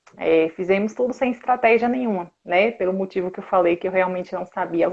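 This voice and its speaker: The speaker has a Bahian accent. The pace is fairly quick. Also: woman. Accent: Bahian Brazilian Portuguese. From Brazil, interior of Bahia (Conceição do Coité). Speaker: sports nutritionist. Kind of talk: live stream interview.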